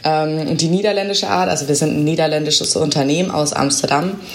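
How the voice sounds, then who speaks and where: Amid noticeable background noise and audible room echo, a woman speaks in a very deep, low voice. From Bavaria (Augsburg). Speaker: company press spokesperson. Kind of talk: interview.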